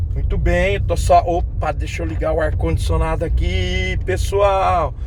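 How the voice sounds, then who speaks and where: Noticeable background noise and audible room echo surround the speaker. A man talks at a very slow pace. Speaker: geography teacher YouTuber. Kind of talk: casual vlog while driving. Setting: in a car.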